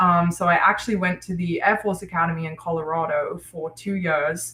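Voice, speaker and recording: Fairly low in pitch, a woman with an unremarkable speaking voice talks at a fairly quick pace with fairly even intonation. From United States (moved from South Africa at about seven). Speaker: aircraft mechanic and prospective financial advisor. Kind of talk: interview.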